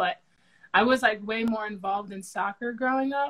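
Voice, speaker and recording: Speaking at a moderate pace, a woman has a New Jersey accent. Her intonation is fairly even. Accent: New Jersey American. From New Jersey (Somerset County, Central Jersey). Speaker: professional basketball player. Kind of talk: casual interview.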